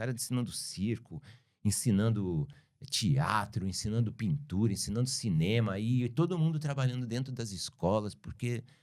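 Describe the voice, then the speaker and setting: A man speaks at a medium pitch with a dark, mellow tone. His intonation is lively. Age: 60s. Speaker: filmmaker. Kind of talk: interview conversation.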